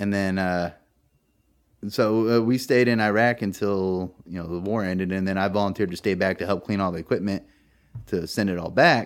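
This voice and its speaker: Fairly quick and fairly even in intonation, a man with a fairly low pitch talks in an American accent. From small-town California. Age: 30s. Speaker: war veteran. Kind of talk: interview conversation. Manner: hesitant, many fillers.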